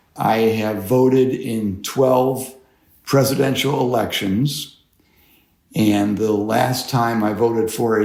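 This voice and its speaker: Speaking with an American accent at a fairly slow pace, a man keeps a medium pitch and fairly even intonation amid audible room echo. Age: 60s. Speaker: voter, retiree. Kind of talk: interview. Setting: remote call.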